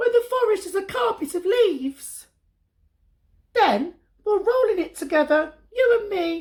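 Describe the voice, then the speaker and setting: In a put-on character voice, the speaker sounds squeaky at an extremely high pitch, leaving long, frequent pauses. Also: moderate pace. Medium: read story.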